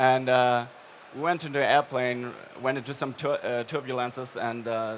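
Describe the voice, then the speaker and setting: The speaker talks with a German accent at a moderate pace. The intonation stays fairly even. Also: man. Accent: noticeable German. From Germany. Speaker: paid search strategist. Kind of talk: live stage interview. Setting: trade fair stage with audience.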